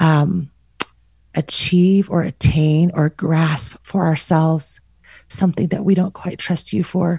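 Somewhat breathy and fairly slow, a woman with an American accent has a dark, mellow tone, a fairly low pitch and fairly even intonation. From US Southwest, Albuquerque, New Mexico. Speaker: author and podcaster. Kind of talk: casual interview.

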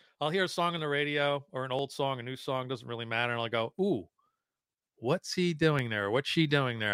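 A man talks in a plain, everyday voice at a medium pitch and a fairly quick pace. The sound is dry and close, with no echo. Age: 50s. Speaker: guitar show co-host. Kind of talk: casual chat. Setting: video call.

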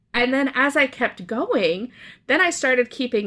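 On a very clean recording with a silent background, a woman speaks in a Canadian accent with a high pitch and lively intonation. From Canada. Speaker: guest on faith podcast. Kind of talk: casual book discussion.

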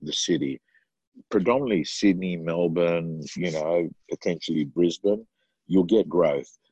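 A man's very deep, low voice, dark and mellow in tone, with an Australian accent, recorded dry and close without echo. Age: 50s. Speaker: real estate trainer and coach. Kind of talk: interview.

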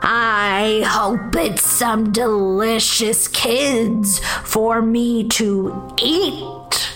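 Over clear background music, a woman uses a put-on character voice that is raspy and fairly high, speaking at a very slow pace. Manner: menacing, gruff.

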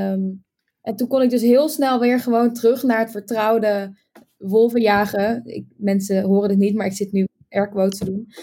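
A woman with an unremarkable speaking voice talks at a moderate pace and a fairly high pitch, her intonation fairly even. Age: 20s. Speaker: game player. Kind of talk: casual chat.

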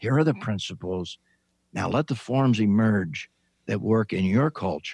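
In a quiet, dry, close setting with no echo, a man with an American accent talks at a fairly slow pace in a fairly low pitch with lively intonation and an unremarkable speaking voice. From US Midwest (Indiana farm). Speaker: retired pastor and author. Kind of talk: interview. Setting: video call.

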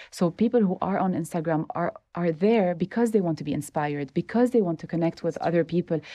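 A woman talks at a very fast pace with hardly any pauses, in a fairly low pitch and a dark, mellow tone, with ordinary pitch variation and a dry, close sound with no echo. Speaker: home baker and food blogger. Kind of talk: interview conversation.

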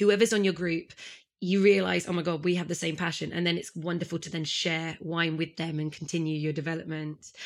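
An enthusiastic, animated woman at a fairly low pitch and a fairly quick pace, on a very clean recording with a silent background. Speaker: podcast host and sommelier. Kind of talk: casual interview chat.

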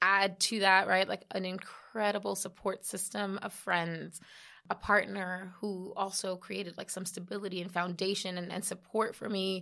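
In a New York accent, a woman talks at a moderate pace with a monotone, flat intonation on a very clean recording with a silent background. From New York City, the Bronx. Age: 30s. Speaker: health tech founder. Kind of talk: podcast interview.

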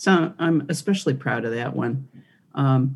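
Speaking at a fairly slow pace, a woman has a very deep, low voice with a dark, mellow tone. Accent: Michigan. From Michigan, US (Detroit). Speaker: priest and former civil rights attorney. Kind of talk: interview conversation.

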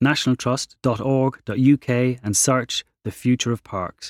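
A man with a plain, everyday voice speaks at a moderate pace and medium pitch in a very clean recording with a silent background and a dry, close sound with no echo.

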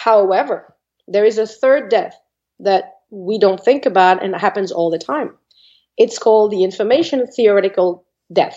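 Someone with a French accent speaks at a moderate pace with ordinary pitch variation. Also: woman, medium pitch for a woman. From France, Normandy. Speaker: psychic medium. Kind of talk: interview.

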